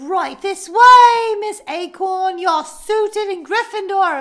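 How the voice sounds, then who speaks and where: Putting on a character voice in a British accent, a woman speaks at a fairly slow pace in an extremely high pitch. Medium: comedy sketch. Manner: formal, welcoming.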